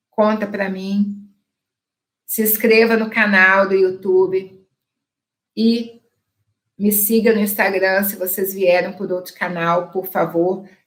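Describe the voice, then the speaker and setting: Very slow speech comes from a woman at a medium pitch, her intonation monotone and flat. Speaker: dentist and laser lecturer. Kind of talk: online lecture with sales pitch.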